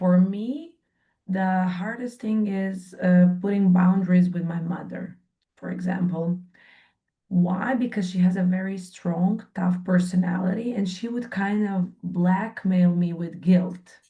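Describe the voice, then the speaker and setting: A woman talks fairly slowly in a somewhat breathy, dark, mellow tone with fairly even intonation. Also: medium pitch for a woman. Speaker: workshop participant. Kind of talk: group coaching session sharing.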